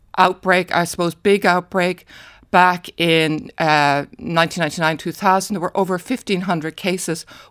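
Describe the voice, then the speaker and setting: A woman with an Irish accent speaks in a fairly low voice. The recording is very clean with a silent background, and the sound is dry and close with no echo. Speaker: retired paediatrician. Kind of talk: radio interview. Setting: studio.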